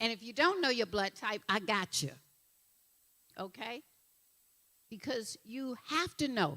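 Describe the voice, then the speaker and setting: A woman with a Southern US accent talks in a fairly high, bright, sharp voice, her tone animated and her pitch swinging very widely. She leaves long, frequent pauses, and the recording is very clean with a silent background. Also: fairly slow pace. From Alabama. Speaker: nutritionist and health coach. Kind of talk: motivational talk. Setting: stage with audience.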